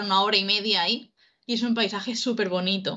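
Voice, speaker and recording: Over a quiet background, a woman talks very fast in a fairly high voice with a bright, sharp tone. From Spain, Murcia; Spain. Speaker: youtube reaction co-host. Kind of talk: casual chat. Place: home room. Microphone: video call.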